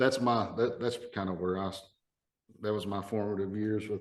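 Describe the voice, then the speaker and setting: Speaking with an Appalachian accent, this man has a fairly low pitch and fairly even intonation. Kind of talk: casual podcast conversation.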